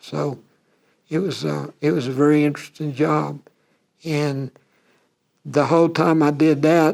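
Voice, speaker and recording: Speaking in a Texan accent, a man with a fairly high pitch goes at a fairly slow pace, with monotone, flat intonation and long, frequent pauses. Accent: Texan American English. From Texas, USA. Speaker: retired rodeo cowboy and animal health industry worker. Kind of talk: oral history interview answer. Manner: casual, conversational.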